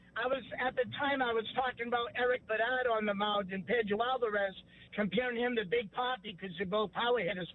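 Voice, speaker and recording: This speaker talks at a fairly quick pace with a Boston accent. The intonation stays fairly even. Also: man, extremely high pitch for a man. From New England (Salem, Massachusetts). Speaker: caller. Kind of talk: sports talk radio call.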